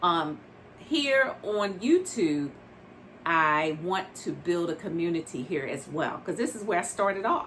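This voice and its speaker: At a fairly slow pace, a woman speaks with lively intonation in a fairly low pitch. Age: 60s. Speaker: doll collector vlogger. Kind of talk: casual vlog talk to camera. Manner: conversational with frequent fillers.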